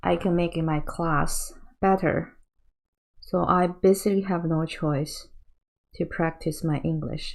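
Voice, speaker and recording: On a very clean recording with a silent background, a woman with a Chinese accent speaks fairly slowly with long, frequent pauses. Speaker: painting teacher. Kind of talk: tutorial. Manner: halting.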